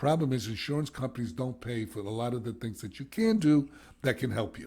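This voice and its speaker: A man speaks at a fairly quick pace in a medium pitch, with a dark, mellow, somewhat breathy tone and ordinary pitch variation. The recording is very clean, with a silent background. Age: 70s. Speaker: addiction recovery expert and podcast co-host. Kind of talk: casual podcast chat. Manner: animated.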